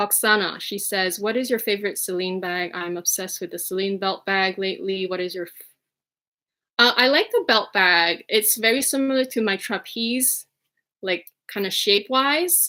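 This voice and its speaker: A woman's medium-pitched, bright, sharp voice with a slight Quebec accent, at a moderate pace with ordinary pitch variation and big swings in loudness, in a very clean recording with a silent background. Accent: slight Quebecois. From Quebec, Montreal. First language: French. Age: 30s. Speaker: fashion vlogger. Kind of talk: livestream chat. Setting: livestream.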